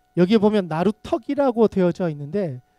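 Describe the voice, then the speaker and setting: Dry and close with no echo, the recording carries a man's high-pitched voice. His tone is dark and mellow, and his pace is moderate. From Gyeongsang region, South Korea. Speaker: pastor. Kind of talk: sermon.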